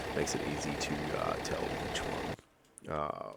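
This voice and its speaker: The voice has an Australian accent. It is quiet. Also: man. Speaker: gaming YouTuber. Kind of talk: gameplay commentary. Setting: at home at night. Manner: quiet, kept low; hesitant, many fillers.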